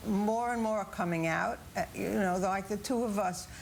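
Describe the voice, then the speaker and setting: Over audible room echo, a woman with a medium-pitched voice speaks at a fairly slow pace with lively intonation. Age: 70s. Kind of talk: TV news interview.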